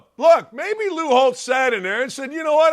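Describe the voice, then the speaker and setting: A man's raised, projected voice, bright and sharp in tone, with lively intonation on a very clean recording against a silent background. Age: 60s. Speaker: sports talk show host. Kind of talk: sports talk monologue. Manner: animated.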